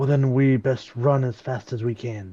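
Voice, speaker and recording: Putting on a character voice, a man speaks at a moderate pace with a medium pitch and fairly even intonation. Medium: actual play. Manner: dry, wry.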